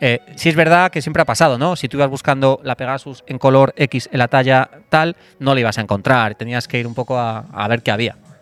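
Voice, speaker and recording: A man's medium-pitched voice over background music, fairly quick with hardly any pauses, ordinary pitch variation, and a dry, close sound with no echo. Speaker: former sportswear brand director and author. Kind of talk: interview conversation. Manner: hesitant, with repeated words.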